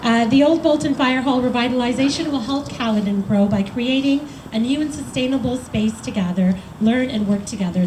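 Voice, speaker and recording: A woman talking at a fairly quick pace with ordinary pitch variation, audible room echo and noticeable background noise. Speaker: member of parliament. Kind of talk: public speech. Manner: loud.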